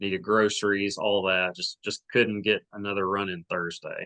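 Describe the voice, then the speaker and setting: In an Arkansas accent, a man speaks at a fairly low pitch with a bright, sharp tone, in a dry, close sound with no echo. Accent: Southern US (Arkansas). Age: 30s. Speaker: podcast host, amateur runner. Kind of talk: casual chat.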